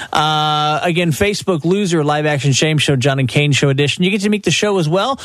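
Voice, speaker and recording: A man talks at a fairly quick pace in a normal speaking voice. His pitch is fairly high, with ordinary variation. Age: 40s. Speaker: radio host. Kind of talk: casual chat.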